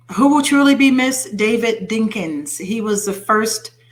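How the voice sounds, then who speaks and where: Noticeable background noise sits behind this recording. A woman speaks at a moderate pace. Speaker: internet radio host. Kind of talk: reading news stories with comments.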